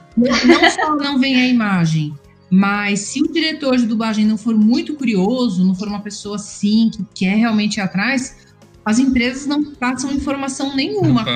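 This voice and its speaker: With music in the background, a woman talks at a moderate pace in a high voice with lively intonation. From São Paulo. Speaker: voice actress. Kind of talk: interview answer.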